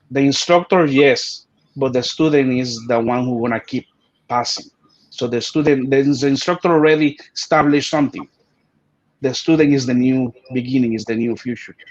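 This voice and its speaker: Speaking at a moderate pace with a Spanish accent, a man keeps a medium pitch and fairly even intonation. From Puerto Rico. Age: 40s. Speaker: martial arts grandmaster. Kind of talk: interview.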